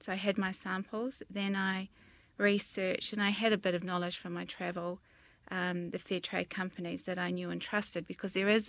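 In a very clean recording with a silent background, a woman with a New Zealand accent speaks at medium pitch and a fairly quick pace, her intonation monotone and flat. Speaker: interior designer and business founder. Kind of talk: interview.

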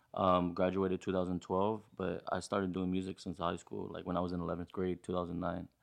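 A man with an American accent talks fairly quickly in a very deep, low pitch. His intonation is monotone and flat over a quiet background. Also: hardly any pauses. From Los Angeles area, California. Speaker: musician. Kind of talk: casual chat.

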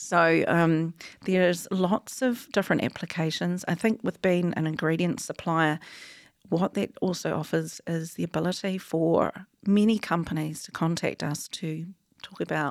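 A fairly low-pitched woman with a New Zealand accent, at a moderate pace with fairly even intonation, on a very clean recording with a silent background and a dry, close sound with no echo. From New Zealand, rural Taranaki. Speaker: wool technology company founder and CEO. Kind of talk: interview.

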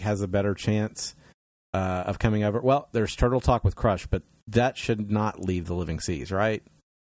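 Fairly low in pitch, a man speaks in an unremarkable speaking voice with ordinary pitch variation. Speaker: podcast host. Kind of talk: casual chat.

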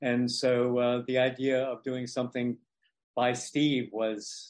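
This man speaks at a medium pitch. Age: old. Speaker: theater producer. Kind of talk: interview. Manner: halting.

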